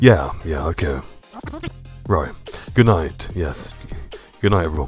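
Over background music, a man speaks at a fairly slow pace with very wide pitch swings. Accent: British. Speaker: ASMR creator. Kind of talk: comedic gaming ASMR roleplay skit.

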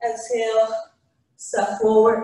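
A woman's voice with audible room echo. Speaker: yoga instructor. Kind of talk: guided yoga class, calm spoken cues. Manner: calm, slow, soothing, even-paced instruction. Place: gym.

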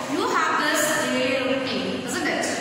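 Noticeable background noise and strong room echo. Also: woman. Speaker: school teacher. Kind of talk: lesson explanation to pupils. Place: classroom.

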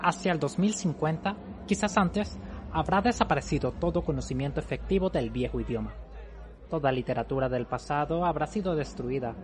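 A man talks at a moderate pace. Crowd noise fills the background. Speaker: audiobook narrator. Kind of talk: audiobook character dialogue. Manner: thoughtful, didactic character voice.

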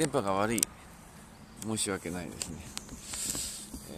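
A man's voice over noticeable background noise. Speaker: pastor. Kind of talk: sermon. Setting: outdoors.

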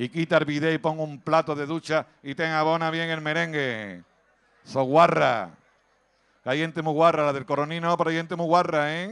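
This man sounds animated at a moderate pace. His pitch is fairly high. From Andalusia, Cádiz province (Villamartín). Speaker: stand-up comedian. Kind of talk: stand-up.

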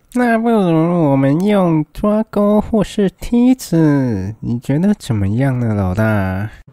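A put-on character voice at a middle pitch moves at a fairly slow pace with very wide pitch swings.

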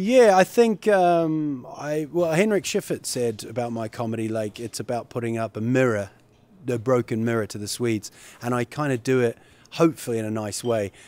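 The speech moves at a moderate pace with lively intonation and a dry sound with no echo. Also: man. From New Zealand. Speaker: comedian. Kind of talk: interview.

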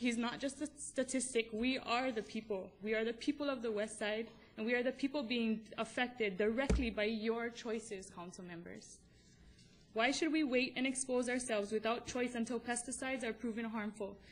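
With a Hawaiian accent, a woman speaks in fairly even intonation. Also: moderate pace. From Kauai, Hawaii. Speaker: mother. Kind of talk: public testimony to county council. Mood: earnest, emotional. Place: hall. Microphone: podium.

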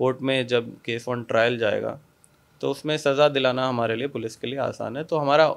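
Medium pitch for a man, fairly even intonation and an unremarkable speaking voice. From India, Kanpur, Uttar Pradesh; Uttar Pradesh, India. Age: 20s. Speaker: police officer. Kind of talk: interview. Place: office. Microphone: handheld.

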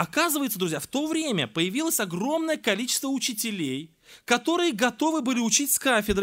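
Lively intonation comes at a moderate pace in a very clean recording with a silent background. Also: man. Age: 40s. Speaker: preacher. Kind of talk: sermon.

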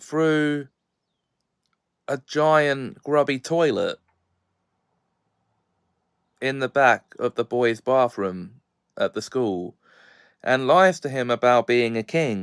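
A man speaks very slowly, with long, frequent pauses and ordinary pitch variation. The sound is dry with no echo, and the background is quiet. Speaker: video reviewer. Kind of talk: review commentary. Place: home room. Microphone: phone near.

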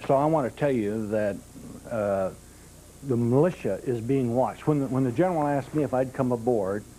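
A dark, mellow voice comes at a fairly quick pace with ordinary pitch variation and audible room echo. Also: man, medium pitch for a man. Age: 60s. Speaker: militia chaplain. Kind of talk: town hall audience comment. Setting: live televised town meeting in a church. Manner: loud.

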